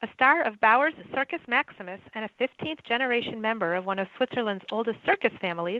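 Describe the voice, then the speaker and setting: A plain, everyday voice with lively intonation at a fairly quick pace. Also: woman. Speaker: podcast host. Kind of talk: podcast intro read.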